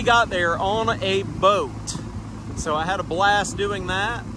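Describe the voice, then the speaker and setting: A man talks at a fairly slow pace. The sound is dry with no echo, and background noise is noticeable. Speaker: amateur radio operator boating. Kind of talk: casual vlog chat. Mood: happy, relaxed. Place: boat.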